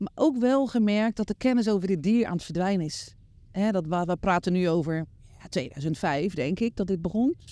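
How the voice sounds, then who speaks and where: A woman talks at a fairly quick pace with a dark, mellow tone. The recording is very clean, with a silent background. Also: medium pitch for a woman, lively intonation. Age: 60s. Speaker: horse behaviour instructor. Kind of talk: interview answer.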